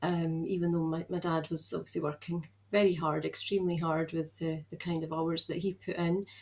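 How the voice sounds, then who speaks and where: With a Scottish accent, a woman talks at a fairly quick pace in a fairly low, monotone, flat voice. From Scotland, Edinburgh. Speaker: productivity mentor. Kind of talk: podcast interview. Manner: hesitant, many fillers.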